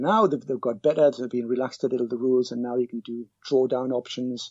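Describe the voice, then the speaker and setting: A man at a medium pitch, talking very fast. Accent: British. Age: 50s. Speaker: cab driver and personal finance blogger. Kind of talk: podcast interview. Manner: halting, with many repetitions.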